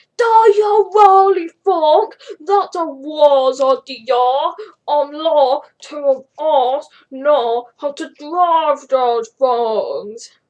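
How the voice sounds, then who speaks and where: A woman does a put-on character voice, high-pitched with lively intonation. She speaks very slowly. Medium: read story.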